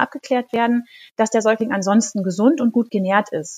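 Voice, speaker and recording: With a dry, close sound and no echo, a woman with an ordinary speaking voice talks at a moderate pace and a fairly high pitch. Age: 40s. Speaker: midwife and pharmacist. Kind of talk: expert interview.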